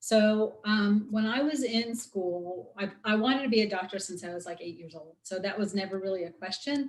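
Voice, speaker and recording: Somewhat breathy and with an American accent, a woman talks with hardly any pauses and big swings in loudness. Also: medium pitch for a woman, ordinary pitch variation, moderate pace. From US Midwest, Chicago. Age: 50s. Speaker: osteopathic physician. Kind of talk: guest talk in interview.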